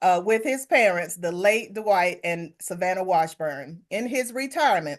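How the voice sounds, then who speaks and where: Against a quiet background, a woman with a North Carolina accent speaks with lively intonation. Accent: Southern US (North Carolina). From US South, Hickory, North Carolina. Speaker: podcast host. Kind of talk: interview conversation; reading an introduction.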